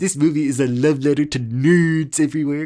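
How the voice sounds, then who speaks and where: In a put-on character voice, the man speaks at a fairly high pitch. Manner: nerdy, geeky, gushing.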